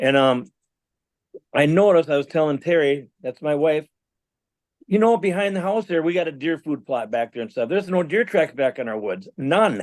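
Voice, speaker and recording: A man talks at a moderate pace with lively intonation. The sound is dry and close, with no echo. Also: fairly high pitch for a man. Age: 60s. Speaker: musician and Bigfoot witness. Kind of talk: interview storytelling.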